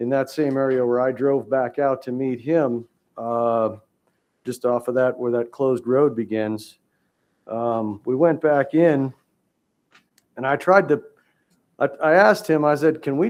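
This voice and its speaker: A man with a medium-pitched voice and ordinary pitch variation talks against a quiet background. He leaves long, frequent pauses. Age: 60s. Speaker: hunter appealing to a wildlife commission. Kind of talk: testimony at a public hearing. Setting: public hearing room. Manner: halting, many fillers.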